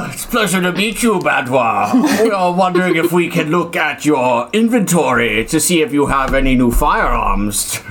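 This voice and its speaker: A man's high-pitched, put-on character voice at a moderate pace with hardly any pauses, over clear background noise. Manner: in-character role voice.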